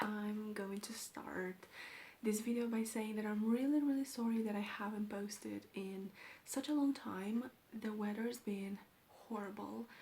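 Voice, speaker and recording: A woman with a Romanian accent speaks at a fairly slow pace in a fairly high pitch, her tone dark and mellow, somewhat breathy, with fairly even intonation. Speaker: book vlogger. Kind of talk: casual vlog talk.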